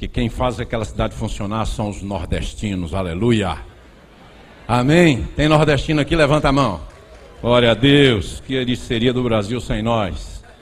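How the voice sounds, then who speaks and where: A man with a Bahian accent, lively intonation, a fairly slow pace and audible room echo. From Bahia, Brazil. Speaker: preacher. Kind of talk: sermon.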